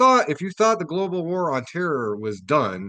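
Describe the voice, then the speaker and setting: In a Midwestern accent, the speaker's pitch swings very widely at a moderate pace against a quiet background. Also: man. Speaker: community radio host. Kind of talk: radio commentary reading article aloud. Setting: radio studio. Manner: casual with frequent fillers.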